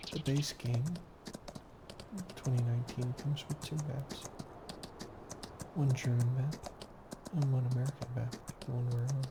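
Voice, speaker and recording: Soft-spoken and monotone with flat intonation, a man at medium pitch speaks with long, frequent pauses against noticeable background noise. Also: moderate pace. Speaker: gaming channel host. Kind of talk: gameplay commentary.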